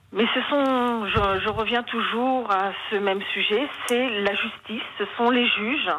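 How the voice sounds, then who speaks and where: With noticeable background noise, a woman with a fairly high pitch speaks at a very slow pace, keeping very even loudness and ordinary pitch variation. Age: 60s. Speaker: caller, mother of injured son. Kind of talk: testimony.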